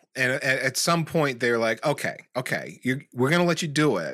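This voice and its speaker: A man speaks at a moderate pace with fairly high pitch and ordinary pitch variation, in a plain, everyday voice. The recording is very clean, with a silent background. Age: 40s. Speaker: tech podcast host, network engineer. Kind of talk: casual chat.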